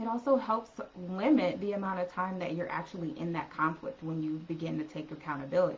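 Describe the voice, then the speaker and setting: A soft-spoken woman talks with lively intonation. Noticeable background noise can be heard. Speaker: relationship coach. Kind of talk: live stream talk.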